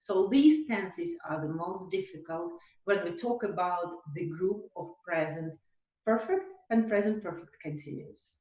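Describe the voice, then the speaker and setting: A woman talks fairly slowly in a somewhat breathy voice, her pitch swinging very widely. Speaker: English teacher. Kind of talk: online lesson.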